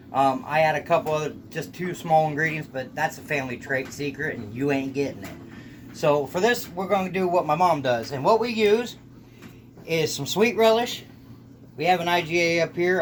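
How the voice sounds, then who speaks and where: Speaking at a fairly quick pace, a man talks in a Southern US accent. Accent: sounds Southern US. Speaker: home cook video host. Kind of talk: cooking tutorial. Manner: casual, folksy.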